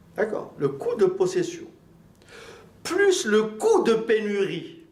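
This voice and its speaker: There is audible room echo as a man talks at a very slow pace. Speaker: accounting and management teacher. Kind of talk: lecture.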